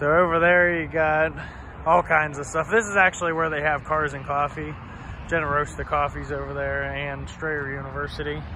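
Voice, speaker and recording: A man at a moderate pace, dry with no echo, amid noticeable background noise. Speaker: vlogger exploring closed places. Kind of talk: casual vlog chat. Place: street. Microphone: phone near.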